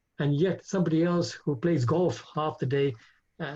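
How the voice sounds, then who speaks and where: A man's dark, mellow voice comes across as somewhat breathy. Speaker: spiritual teacher. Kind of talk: religious class with Q&A over video call. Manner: fast when excited.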